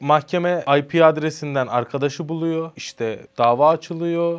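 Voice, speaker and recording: Against a quiet background, a man talks in an ordinary speaking voice. His pace is fairly slow. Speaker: social media content creator. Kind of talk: casual interview.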